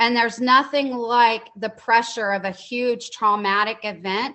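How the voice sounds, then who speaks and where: Here a woman with an American accent speaks at a fairly slow pace. Her pitch sits fairly high and her intonation stays fairly even. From Dallas, Texas. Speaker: nonprofit founder, formerly incarcerated. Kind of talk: interview. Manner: halting, with fillers and repeats.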